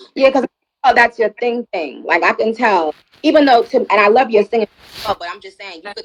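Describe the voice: In a New York accent, a woman talks at a fairly quick pace with a fairly high pitch, very wide pitch swings and big swings in loudness, in a dry, close sound with no echo.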